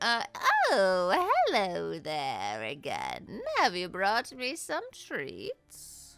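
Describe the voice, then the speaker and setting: Over music in the background, a female-sounding, put-on character voice moves at a very slow pace. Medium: actual play. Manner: sweet, grandmotherly, doting.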